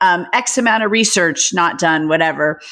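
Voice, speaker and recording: A woman speaks fairly slowly at medium pitch, with very wide pitch swings. Noticeable background noise can be heard. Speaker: podcast host. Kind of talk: podcast interview, conversational. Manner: upbeat, enthusiastic.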